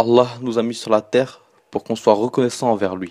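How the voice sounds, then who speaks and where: Dry and close with no echo, a man's dark, mellow, medium-pitched voice moves at a very fast pace. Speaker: religious reminder speaker. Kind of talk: spoken religious reminder.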